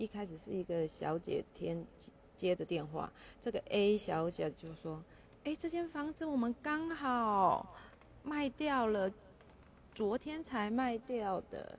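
Very slowly and somewhat breathily, a woman with a Taiwanese accent and a fairly high voice speaks with very wide pitch swings against a quiet background. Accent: Taiwanese Mandarin. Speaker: podcaster. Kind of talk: casual solo monologue. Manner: animated. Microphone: first recording, poor quality, volume not adjusted.

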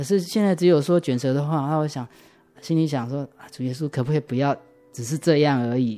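Over music in the background, the speech moves at a fairly quick pace with ordinary pitch variation. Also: man, fairly high pitch for a man. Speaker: church member giving testimony. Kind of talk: testimony. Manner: hesitant, many fillers.

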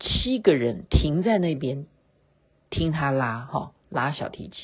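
A woman speaks in a relaxed tone that is somewhat breathy. Her pitch swings very widely. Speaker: podcast host. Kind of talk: casual late-night monologue. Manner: relaxed, chatty with fillers.

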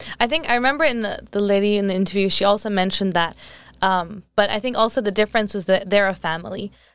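Talking at a very fast pace, a woman with an American accent keeps a medium pitch with ordinary pitch variation. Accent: American-sounding English. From England. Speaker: podcast host. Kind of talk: casual interview. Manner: giggly, casual.

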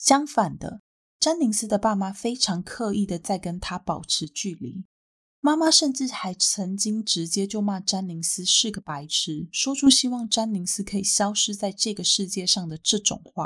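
In a Taiwanese accent, a woman talks at a medium pitch with lively intonation. The recording is very clean, with a silent background. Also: moderate pace. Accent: Taiwanese Mandarin. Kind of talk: storytelling narration.

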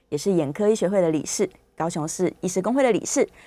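A woman with a Taiwanese accent speaks at a fairly quick pace with lively intonation. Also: very clean recording, silent background. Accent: Taiwanese Mandarin. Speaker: radio health show host. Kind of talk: radio interview. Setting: studio.

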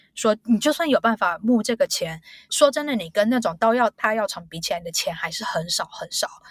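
A woman talks at a fairly quick pace in a fairly high, somewhat breathy voice. Her intonation is lively, and the sound is dry and close with no echo. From Taiwan, Taipei. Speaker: biotech executive. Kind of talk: interview.

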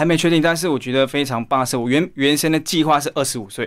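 This man talks at a fairly quick pace with a Malaysian accent and ordinary pitch variation. The recording is very clean, with a silent background. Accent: Malaysian Chinese-accented Mandarin. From East Malaysia. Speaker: aspiring singer. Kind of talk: interview.

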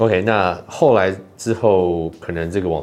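Music in the background behind a man's very deep, low voice. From Taiwan. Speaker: YouTuber and podcaster. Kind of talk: solo commentary podcast. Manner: halting, many fillers.

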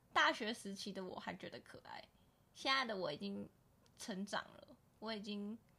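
Vocal fry, lively intonation and a moderate pace, with long, frequent pauses and big swings in loudness. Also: woman, medium pitch for a woman. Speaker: podcast co-host. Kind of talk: casual chat.

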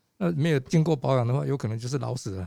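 His voice is pitched fairly high. The tone has a dark, mellow quality. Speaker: physician and patient safety advocate. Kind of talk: casual chat. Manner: halting.

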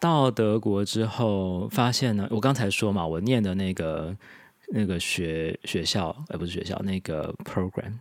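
Fairly slow and fairly low-pitched, a man speaks with ordinary pitch variation. His is a plain, everyday voice. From Taiwan. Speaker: immigrant spouse and language blogger. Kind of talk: casual interview.

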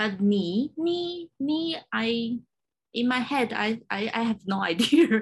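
A woman speaks with a Chinese accent at a fairly high pitch. Her pace is very slow and her pitch swings very widely. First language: Mandarin Chinese. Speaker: podcast host. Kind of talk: interview. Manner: halting.

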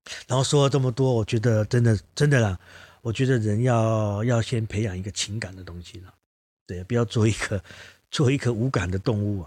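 A man's medium-pitched voice with a Taiwanese accent, at a fairly quick pace with ordinary pitch variation, on a very clean recording with a silent background. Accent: Taiwanese Mandarin. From southern Taiwan, Kaohsiung. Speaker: ceramic artist and teacher. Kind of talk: casual interview chat.

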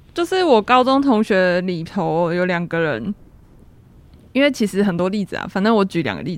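A woman at a moderate pace on a very clean recording with a silent background. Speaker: university major selection advisor. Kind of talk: casual chat.

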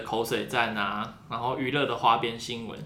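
Through audible room echo and noticeable background noise, a man talks at a fairly quick pace. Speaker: international student, podcaster. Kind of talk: casual chat.

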